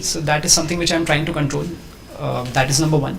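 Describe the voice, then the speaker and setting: Ordinary pitch variation comes through over noticeable background noise and audible room echo. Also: man. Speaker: civil service exam candidate. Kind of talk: mock interview. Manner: fast.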